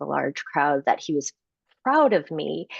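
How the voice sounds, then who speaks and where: A woman talks with a Midwestern American accent. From Chicago suburbs, US Midwest. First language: Korean. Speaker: author and speaker. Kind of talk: interview conversation.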